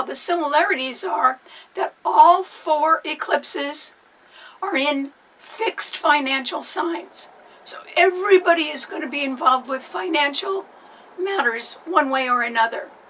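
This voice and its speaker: Putting on a character voice, a woman sounds hoarse at a high pitch, with lively intonation and a moderate pace. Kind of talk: informative, explanatory.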